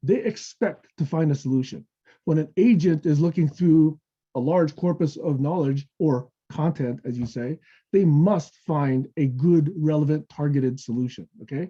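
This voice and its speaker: A man's dark, mellow, somewhat breathy voice sits at a fairly high pitch, with ordinary pitch variation. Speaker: technology evangelist at a software company. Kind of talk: webinar presentation. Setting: online webinar. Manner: fast.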